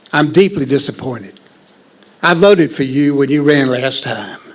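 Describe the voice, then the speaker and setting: This man's voice sits fairly high, with ordinary pitch variation and a moderate pace. Noticeable background noise runs beneath him. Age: 70s. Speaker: public commenter, veteran and former county commissioner. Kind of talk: public comment at council meeting. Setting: town council meeting chamber. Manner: formal.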